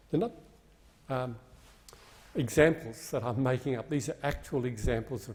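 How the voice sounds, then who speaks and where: Speaking at a moderate pace with an Australian accent, a man sounds somewhat breathy and uses ordinary pitch variation. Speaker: member of parliament. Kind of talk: parliamentary speech. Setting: parliament chamber.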